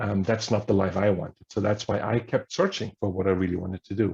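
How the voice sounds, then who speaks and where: A man's fairly low, dark, mellow voice, somewhat breathy and fairly quick, with fairly even intonation. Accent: German. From Germany. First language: German. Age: 50s. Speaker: history professor. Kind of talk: workshop talk.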